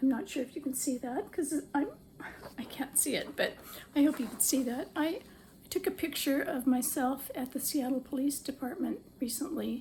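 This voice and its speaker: A woman's high-pitched voice, dark and mellow in tone, at a moderate pace with ordinary pitch variation. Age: 70s. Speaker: social media user and author. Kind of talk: personal appeal to camera. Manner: hesitant, with frequent fillers.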